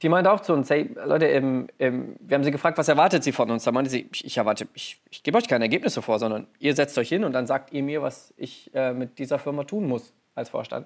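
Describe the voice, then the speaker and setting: A man with a fairly high pitch races along at a very fast pace, his intonation lively and hardly any pauses between words. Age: 30s. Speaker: business innovation manager. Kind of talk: interview. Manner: hesitant with many fillers.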